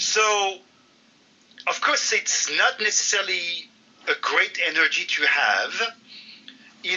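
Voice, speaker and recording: The speaker has a French accent. Background noise is noticeable. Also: man. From France. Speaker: football site contributor. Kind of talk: casual interview chat. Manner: animated.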